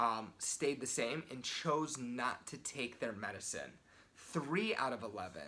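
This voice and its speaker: Quietly, a man speaks at a medium pitch with lively intonation and vocal fry. His tone is bright and sharp. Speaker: sales and persuasion coach. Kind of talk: motivational talk to camera. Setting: hotel room. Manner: kept quiet, voice held down.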